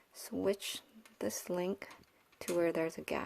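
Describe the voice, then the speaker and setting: A woman speaks. Her pace is fairly slow. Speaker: DIY craft tutorial creator. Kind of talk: casual DIY tutorial talk to camera. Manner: whispered, soft.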